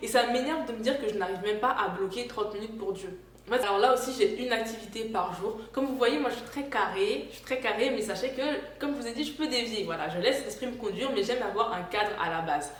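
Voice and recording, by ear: Echo from the room is audible as a woman talks fast. Her voice sits fairly high, with ordinary pitch variation.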